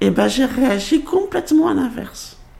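Very slow woman's voice with noticeable background noise. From Guadeloupe. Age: 40s. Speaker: psychiatric patient. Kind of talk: interview testimony.

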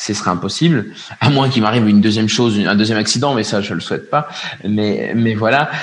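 This voice belongs to a man. It rises and falls with ordinary pitch variation. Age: 30s. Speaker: parenting influencer and father. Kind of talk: casual interview. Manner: halting, repeats words.

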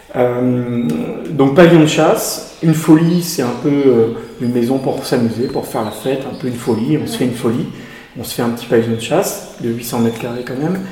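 A man speaks at a fairly quick pace. Audible room echo and noticeable background noise come through. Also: medium pitch for a man, ordinary pitch variation. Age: 40s. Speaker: estate and garden owner. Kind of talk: interview. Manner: hesitant with fillers.

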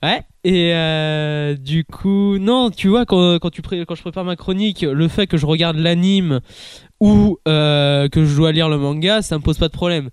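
A man's high-pitched voice at a fairly slow pace with ordinary pitch variation. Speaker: podcast co-host, anime columnist. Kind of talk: casual chat. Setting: podcast recording.

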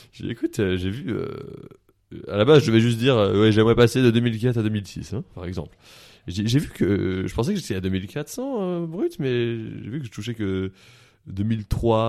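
A man with a fairly low pitch and a dark, mellow tone talks at a fairly slow pace with long, frequent pauses and ordinary pitch variation. The recording is very clean, the background silent. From France, Paris area. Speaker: comedian and media personality. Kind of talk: casual chat. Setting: studio.

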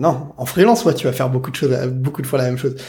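Fairly high, somewhat breathy male voice, pitch varying in an ordinary way. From France, Saint-Denis (Paris suburbs). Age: 30s. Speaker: innovation consultant. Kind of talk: interview.

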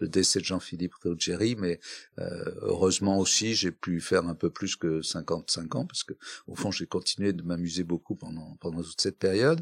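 A man speaks at a moderate pace in a very deep, low pitch. The recording is very clean and silent behind him, with a dry, close sound and no echo. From northern France, Flanders (Dunkirk, Hazebrouck). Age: 70s. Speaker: real estate executive. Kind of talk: interview. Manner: halting, with fillers.

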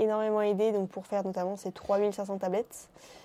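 Dark, mellow tone from a woman at a medium pitch. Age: 20s. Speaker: chocolate entrepreneur. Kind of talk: casual interview.

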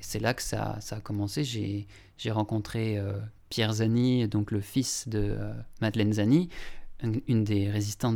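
Moderate-paced speech from a man at a fairly low pitch, captured in a very clean recording with a silent background. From Lorraine, France (Longwy area). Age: young. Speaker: documentary filmmaker. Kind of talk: interview. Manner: halting, many repetitions and hesitations.

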